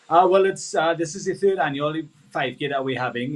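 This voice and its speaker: A man talks in a Trinidadian accent. His pitch variation is ordinary. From Trinidad and Tobago. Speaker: sports event organizer. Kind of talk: live interview.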